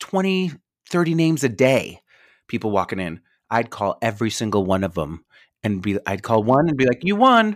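A medium-pitched man with an American accent, very wide pitch swings and a moderate pace, on a very clean recording with a silent background. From New York. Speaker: esthetician and business owner. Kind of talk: casual chat. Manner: animated.

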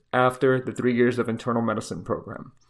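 The speech comes very fast. It carries a slight Miami accent. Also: man. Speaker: intensive care physician. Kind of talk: educational podcast monologue, casual advice. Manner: casual, conversational, humorous.

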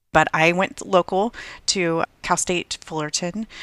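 Her fairly low voice shows ordinary pitch variation, and the woman's recording sounds dry and close with no echo. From Southern California. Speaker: software developer apprentice, former chiropractor. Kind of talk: interview.

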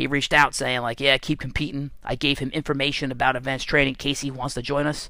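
A man's fairly high voice has a bright, sharp tone and an animated delivery. The recording is very clean, with a silent background. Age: 40s. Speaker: strength and conditioning coach. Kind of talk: casual monologue podcast.

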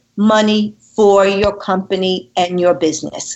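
A woman with a New York accent at a fairly slow pace. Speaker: relationship and communication expert. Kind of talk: interview. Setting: phone call. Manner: animated.

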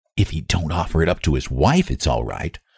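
In a put-on character voice, a man growls at a very deep, low pitch and a fairly quick pace. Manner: loud whisper.

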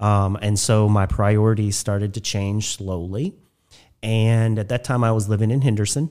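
A man with an American accent talks at a moderate pace and fairly low pitch, his intonation fairly even. His tone is dark and mellow, and the recording is very clean with a silent background. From southern Indiana (Spencer County). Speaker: nonprofit executive director. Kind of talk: casual interview. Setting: studio.

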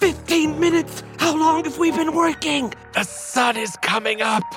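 A put-on character voice speaks at a high pitch and a moderate pace. Clear music plays in the background. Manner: urgent, alarmed.

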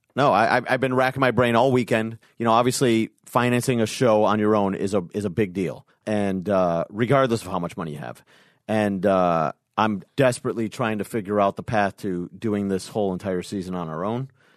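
A man's fairly low voice with ordinary pitch variation, at a fairly quick pace against a quiet background. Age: 40s. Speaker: producer and financier. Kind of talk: casual chat. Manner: halting with frequent repetitions.

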